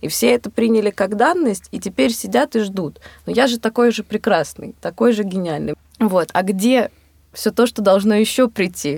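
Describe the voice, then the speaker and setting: The recording is dry and close with no echo. A woman with a medium pitch and lively intonation speaks at a moderate pace. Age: 20s. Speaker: photographer and filmmaker, podcast co-host. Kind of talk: casual chat. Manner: hesitant, many filler sounds.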